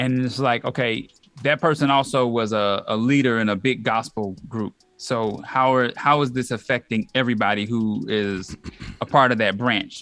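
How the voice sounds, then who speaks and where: A plain, everyday voice from a man at medium pitch, with fairly even intonation and a moderate pace. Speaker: podcast co-host. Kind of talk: radio DJ patter, relaxed casual sign-off and shout-outs with a jingle.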